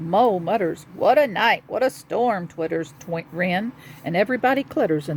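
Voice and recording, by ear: Intonation here is lively. Someone reads aloud in a natural voice.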